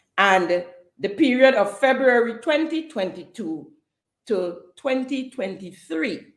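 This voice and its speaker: Lively intonation carries through the clip, with audible room echo around the voice. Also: woman. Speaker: podcast host. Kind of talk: political commentary podcast. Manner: passionate, some stuttering.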